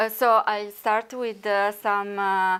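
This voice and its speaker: A woman's medium-pitched voice with an Italian accent, fairly slow in pace, on a very clean recording with a silent background. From Italy. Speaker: researcher. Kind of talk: conference talk. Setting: conference workshop. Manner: halting, many fillers.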